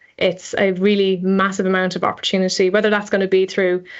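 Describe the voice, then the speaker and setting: A woman with an Irish accent, medium pitch and monotone, flat intonation at a fairly quick pace. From Ireland. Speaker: energy engineer. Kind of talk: podcast interview.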